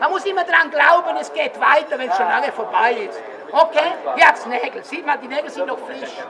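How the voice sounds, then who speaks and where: Crowd noise runs in the background. The speech moves at a moderate pace. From Switzerland. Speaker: market crier. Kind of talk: market crier sales pitch. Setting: outdoors.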